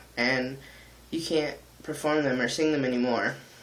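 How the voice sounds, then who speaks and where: Speaking at a fairly slow pace, a man with a fairly high voice keeps his intonation fairly even, and the room adds audible echo. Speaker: vlogger and musician. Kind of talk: personal vlog monologue. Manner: halting, many ums.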